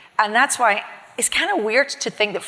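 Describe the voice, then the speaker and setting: This woman has a Scottish accent and a fairly high pitch. She speaks at a fairly quick pace with lively intonation and an animated tone. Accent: non-Miami accent (Scottish). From Scotland. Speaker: chief marketing officer. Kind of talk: interview on stage.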